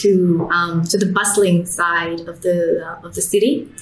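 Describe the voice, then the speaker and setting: A woman with a Vietnamese accent speaks at a fairly slow pace with a fairly low pitch and fairly even intonation. Noticeable background noise and audible room echo fill the recording. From Vietnam, Hanoi. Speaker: startup CEO. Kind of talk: interview. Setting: in person.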